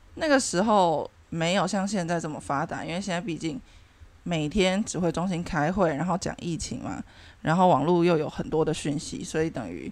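Recorded very cleanly against a silent background, a woman at a fairly low pitch speaks in a normal speaking voice, at a moderate pace with ordinary pitch variation. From Taiwan. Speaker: podcast host. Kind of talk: casual chat.

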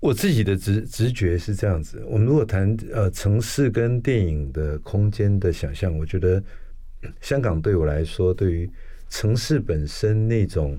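In an ordinary speaking voice, a man with a fairly low pitch talks at a fairly slow pace with lively intonation. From Taiwan, Taipei. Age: 60s. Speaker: architect and professor. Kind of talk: interview conversation.

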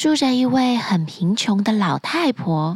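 Soft-spoken and somewhat breathy, a woman speaks at a very slow pace, her fairly high pitch swinging very widely. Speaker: children's storyteller podcast host. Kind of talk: bedtime storytelling.

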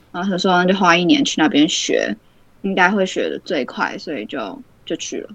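A woman with a medium pitch and vocal fry speaks at a moderate pace. Her pitch swings very widely and her loudness shifts by big amounts. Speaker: university student. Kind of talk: casual chat.

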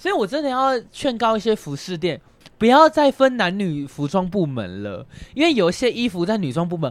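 A man's voice swings very widely in pitch as he talks at a moderate speed. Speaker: podcast co-host. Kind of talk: casual chat.

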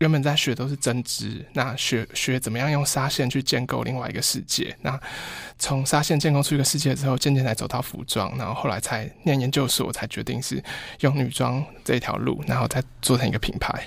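A man with vocal fry talks at a fairly quick pace, at medium pitch, with fairly even intonation. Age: 30s. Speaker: fashion designer. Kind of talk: interview. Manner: very quiet, low volume; halting, repeats words.

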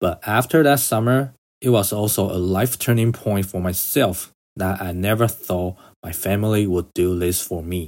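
A man's fairly low voice at a moderate pace with ordinary pitch variation, in a very clean recording with a silent background. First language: not English. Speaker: podcaster. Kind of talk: personal storytelling monologue.

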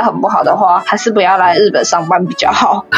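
Music plays behind a woman who speaks at a fairly quick pace with ordinary pitch variation. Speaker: office worker in Japan. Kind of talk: casual interview.

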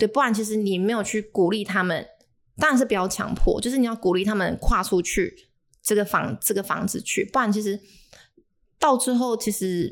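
On a very clean recording with a silent background, the voice moves at a moderate pace with ordinary pitch variation. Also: woman, fairly high pitch for a woman. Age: 20s. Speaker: personal trainer. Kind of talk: casual chat.

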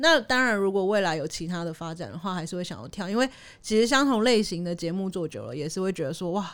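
A woman with a Taiwanese accent speaks at a very fast pace in a medium pitch with lively intonation. The recording is very clean, with a silent background. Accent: Taiwanese Mandarin. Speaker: TV news programme producer. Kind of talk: casual chat. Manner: timid-sounding.

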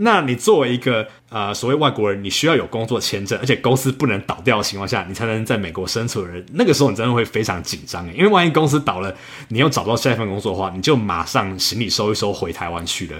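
Lively intonation runs through this man's very fast, medium-pitched speech. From Taiwan. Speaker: software engineer and travel podcaster. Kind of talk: casual interview.

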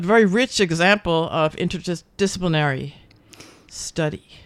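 In a New Jersey accent, a woman talks at a fairly slow pace with a medium pitch. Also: dry, close sound with no echo. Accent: New Jersey American. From US Northeast, New Jersey. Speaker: radio host. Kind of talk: interview. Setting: studio. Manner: animated.

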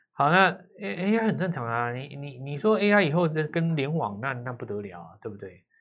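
This man's fairly high voice makes very wide pitch swings and big swings in loudness. He keeps a moderate pace, with audible room echo. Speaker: stock market analyst. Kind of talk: casual chat.

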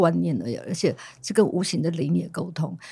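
This woman's voice is fairly low and shows vocal fry. She speaks at a moderate pace. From Taiwan, Amis community. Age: old. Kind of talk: casual chat.

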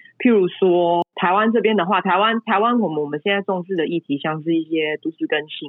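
Fairly quick speech in a Taiwanese accent. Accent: Taiwanese Mandarin. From Taiwan, Kaohsiung. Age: 30s. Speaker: urban planner. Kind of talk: interview conversation. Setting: remote call. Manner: hesitant with fillers.

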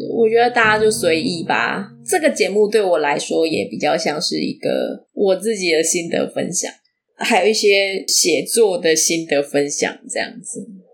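A woman talks at a fairly slow pace with a medium pitch. Her intonation is lively. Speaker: podcast host and fiction writer. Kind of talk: casual solo talk on writing.

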